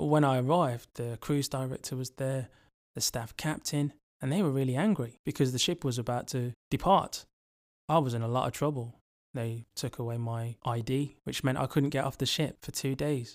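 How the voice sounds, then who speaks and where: A man with an English accent speaks at a moderate pace and a medium pitch, with ordinary pitch variation. The recording is very clean, with a silent background. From England, Birmingham. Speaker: travel podcaster. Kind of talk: scripted narration.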